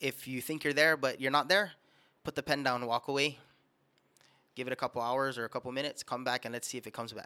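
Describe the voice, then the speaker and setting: A man with a Guamanian accent at a very fast pace, medium pitch and a bright, sharp tone, on a very clean recording with a silent background. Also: dry, close sound with no echo. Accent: Guamanian (Chamorro) English. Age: 20s. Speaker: musician. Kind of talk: casual chat. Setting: studio.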